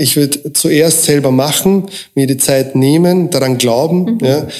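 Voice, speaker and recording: Noticeable background noise runs under a man speaking at a moderate pace with a fairly high pitch and ordinary pitch variation. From Austria, moved from Croatia at seven. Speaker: recruiting consultant. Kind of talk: interview.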